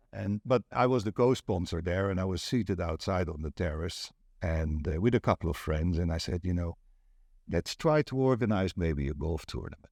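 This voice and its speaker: Someone with a Dutch accent speaks at a moderate pace with lively intonation, in a dry, close sound with no echo and a quiet background. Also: man, very deep, low pitch for a man. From Netherlands. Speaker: property agent and networking event organizer. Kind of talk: casual interview chat.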